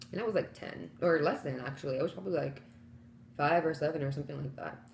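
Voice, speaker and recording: Noticeable background noise and an audible room echo accompany a woman's voice. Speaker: vegan vlogger. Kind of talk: casual chat. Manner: soft-spoken; loud. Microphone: too quiet.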